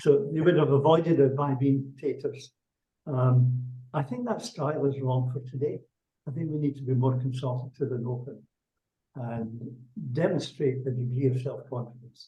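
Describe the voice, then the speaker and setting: In a Scottish accent, a man with a somewhat breathy, medium-pitched voice speaks at a moderate pace with fairly even intonation. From Scotland. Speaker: executive leadership coach. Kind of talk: webinar Q&A interview.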